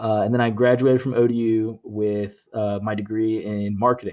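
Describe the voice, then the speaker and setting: At a moderate pace, a man with an American accent talks in an ordinary speaking voice, medium in pitch with fairly even intonation. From Virginia (Norfolk). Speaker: podcast host. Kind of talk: casual chat.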